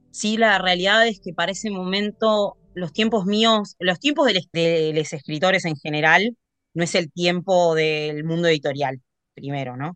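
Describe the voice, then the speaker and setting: In an Argentine accent, a woman with a fairly low pitch speaks at a fairly slow pace with ordinary pitch variation. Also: dry, close sound with no echo. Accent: Rioplatense Argentine Spanish. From Argentina, Tandil (Buenos Aires province). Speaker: poet and sommelier. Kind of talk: interview.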